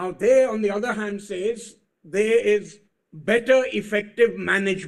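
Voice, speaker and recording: A man's high-pitched voice at a very slow pace. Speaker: senior advocate. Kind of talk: courtroom argument. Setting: courtroom. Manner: formal.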